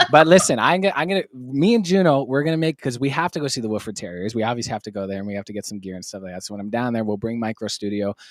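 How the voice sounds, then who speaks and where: On a very clean recording with a silent background, a man at medium pitch talks at a very fast pace in an animated tone, with very wide pitch swings and hardly any pauses. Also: big swings in loudness. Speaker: live stream host. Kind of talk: casual chat. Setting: live stream studio.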